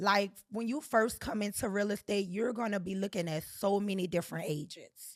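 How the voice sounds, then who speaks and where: Animated in tone, a woman with a New Orleans accent and a medium pitch talks at a moderate pace with ordinary pitch variation and hardly any pauses. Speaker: real estate agent. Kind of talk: casual chat.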